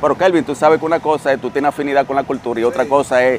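A man's voice, dry with no echo, over light background noise. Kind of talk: interview answer. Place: street.

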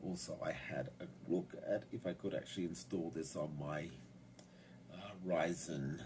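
A man speaks at a very deep, low pitch and a fairly slow pace. His pitch varies in an ordinary way against noticeable background noise. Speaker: hobbyist computer user. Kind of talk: casual tech tutorial narration. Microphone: phone near.

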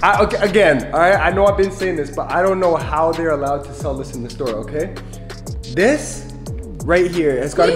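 Clear music plays in the background. Over it, a man with a high voice talks at a fairly quick pace. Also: ordinary pitch variation. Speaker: family vlogger. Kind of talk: casual vlog chat. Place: kitchen. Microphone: phone near.

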